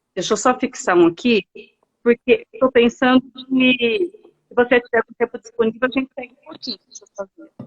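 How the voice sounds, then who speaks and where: Heard in a dry, close recording with no echo, a woman talks at a moderate pace in a high voice. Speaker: live stream host, travel author. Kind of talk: casual chat. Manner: animated. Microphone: poor connection, cutting out.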